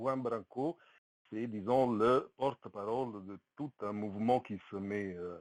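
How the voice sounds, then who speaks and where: A very slow, fairly low-pitched male voice with an Italian accent, ordinary pitch variation, big swings in loudness, and a dry, close sound with no echo. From Italy. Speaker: participant in an online community discussion. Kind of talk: testimony. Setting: voice chat on Discord. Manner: halting, many hesitations.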